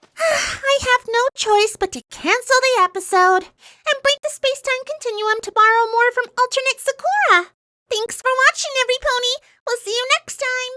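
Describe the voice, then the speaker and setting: A cartoonish character voice, squeaky and female-sounding, pitched extremely high for a woman and delivered at a moderate pace. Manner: fast, excitable.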